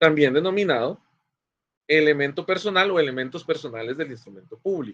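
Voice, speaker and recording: This man's loudness swings a lot as he talks at a fairly quick pace. His pitch is fairly high, with ordinary variation. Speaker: law professor. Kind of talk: lecture. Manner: fast.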